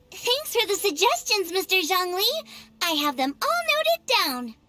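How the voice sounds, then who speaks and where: A woman does a put-on character voice at an extremely high pitch. She keeps a moderate pace. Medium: video game. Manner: bright, enthusiastic.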